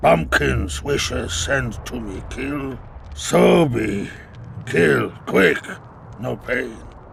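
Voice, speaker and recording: Putting on a raspy character voice, a man speaks at a very deep, low pitch and a very slow pace, with very wide pitch swings, big swings in loudness and long, frequent pauses over clear background noise. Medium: video game. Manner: curt.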